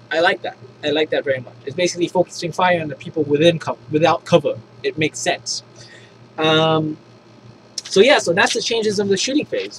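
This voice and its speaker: Enthusiastic speech with long, frequent pauses and ordinary pitch variation, a dry, close sound with no echo, and noticeable background noise. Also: man, high pitch for a man. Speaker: tabletop gaming YouTuber. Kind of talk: unscripted rulebook review. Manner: halting, many false starts; casual, enthusiastic.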